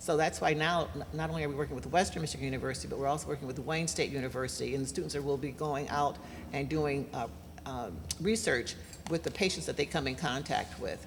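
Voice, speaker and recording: Audible room echo follows a woman speaking at a very fast pace in a very deep, low pitch with ordinary pitch variation. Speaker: panelist, aging advocate. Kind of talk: panel discussion.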